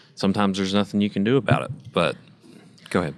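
This man has a very deep, low pitch. He speaks with an Appalachian accent. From West Virginia (McDowell County), born in Kentucky. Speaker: student podcast interviewer. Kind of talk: group discussion.

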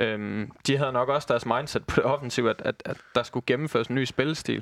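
On a very clean recording with a silent background, a man at medium pitch talks at a fairly quick pace with fairly even intonation. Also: dry, close sound with no echo. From Southern Jutland, Denmark (Christiansfeld near Haderslev). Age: 20s. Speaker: football fan pundit, former youth player. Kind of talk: casual football discussion. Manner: hesitant, many fillers.

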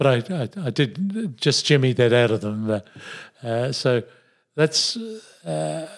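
In an Australian accent, a man speaks with very wide pitch swings. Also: very clean recording, silent background. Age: 70s. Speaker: retired pharmacist and businessman. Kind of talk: interview, reflective life story. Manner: halting, hesitant with many fillers.

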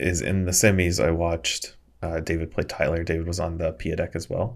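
On a very clean recording with a silent background, a man with an American accent speaks fairly quickly. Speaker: co-host, Magic: The Gathering podcaster. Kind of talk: casual chat. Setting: recorded live on stream with chat.

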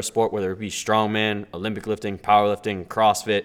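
A normal speaking voice at a moderate pace, in a very clean recording with a silent background. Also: man. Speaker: powerlifter and hospital worker. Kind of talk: casual conversation.

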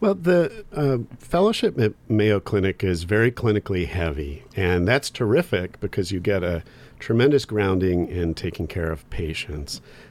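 In an unremarkable speaking voice, a man with an American accent talks at a fairly low pitch and moderate pace with lively intonation, on a very clean recording with a silent background. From US Midwest (Michigan family, born New Jersey). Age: 40s. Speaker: oncologist. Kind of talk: casual interview. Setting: studio.

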